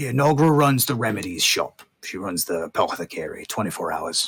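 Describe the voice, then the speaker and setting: A man uses a put-on character voice that is raspy. His pitch is medium and his pace moderate. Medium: actual play. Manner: casual, chatty.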